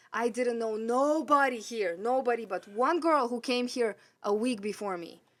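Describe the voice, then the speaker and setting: On a very clean recording with a silent background, a woman of fairly high pitch talks at a moderate pace with ordinary pitch variation. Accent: Russian. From Russia, Siberia. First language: Russian. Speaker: sound engineer. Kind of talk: casual chat.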